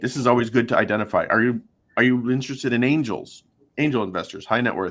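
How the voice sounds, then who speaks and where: A man speaks at medium pitch. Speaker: fundraising software executive. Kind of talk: webinar presentation. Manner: fast.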